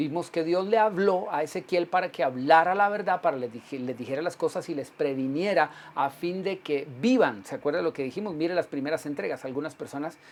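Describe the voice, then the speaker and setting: The speaker uses lively intonation and hardly pauses at all. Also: man, high pitch for a man, fairly quick pace. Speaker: pastor. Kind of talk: sermon. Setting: livestream broadcast.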